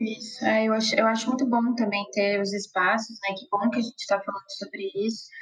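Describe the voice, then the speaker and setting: A woman's unremarkable speaking voice, fairly high in pitch, at a fairly quick pace with fairly even intonation and hardly any pauses. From Brazil, interior of Rio Grande do Sul. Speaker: nutritionist. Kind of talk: casual chat.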